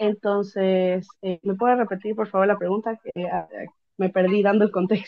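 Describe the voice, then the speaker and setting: At a moderate pace, a woman keeps a monotone, flat intonation. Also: medium pitch for a woman. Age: 20s. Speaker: interviewee sharing migration experience. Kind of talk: interview. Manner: hesitant, many fillers.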